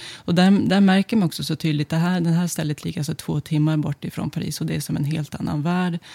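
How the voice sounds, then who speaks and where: Very fast, a woman speaks in a very deep, low, somewhat breathy voice with a dark, mellow tone and fairly even intonation. The sound is dry and close, with no echo. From northern Sweden, Örnsköldsvik. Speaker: sociologist. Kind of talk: interview.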